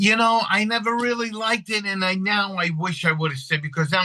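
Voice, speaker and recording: A man with an American accent, a bright, sharp tone and a fairly quick pace. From Long Island, New York. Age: 60s. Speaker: actor and bakery owner. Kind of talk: casual interview chat.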